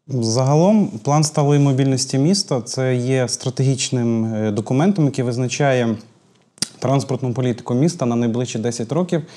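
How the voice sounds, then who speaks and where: A man with a dark, mellow tone talks over a quiet background, his pitch shifting in an ordinary way. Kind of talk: interview answer. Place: studio. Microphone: lapel.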